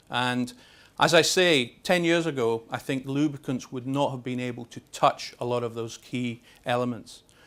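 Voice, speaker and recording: A man's medium-pitched voice in a Scottish accent, with ordinary pitch variation and big swings in loudness, on a very clean recording with a silent background. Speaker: lubricants industry expert. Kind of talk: seminar presentation. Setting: seminar with invited audience at exhibition. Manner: fast; halting, many fillers and repetitions.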